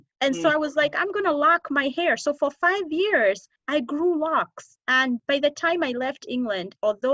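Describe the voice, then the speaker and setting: A woman with an American accent speaks at a moderate pace in a bright, sharp tone, with a dry, close sound and no echo. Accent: slight American twang over Kenyan. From Kenya. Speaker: podcast host. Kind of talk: casual interview chat.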